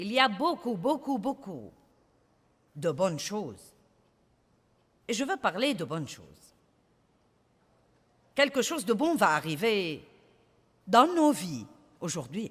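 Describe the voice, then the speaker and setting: Over a very clean, silent background, a woman at medium pitch speaks very slowly with vocal fry, very wide pitch swings, big swings in loudness, and long, frequent pauses. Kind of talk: sermon / preaching to an audience.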